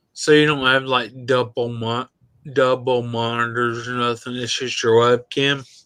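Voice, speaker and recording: A man speaks at a fairly slow pace in a Southern US accent, with a medium pitch and a bright, sharp tone. His intonation stays monotone and flat. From Tennessee. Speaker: viewer joining the livestream. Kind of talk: casual chat. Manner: slurred as talk goes on.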